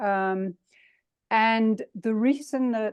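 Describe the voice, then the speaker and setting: With an English accent and ordinary pitch variation, a woman is heard in a dry, close sound with no echo over a quiet background. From England. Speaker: breathing coach, long covid sufferer. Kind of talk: online presentation. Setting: video call.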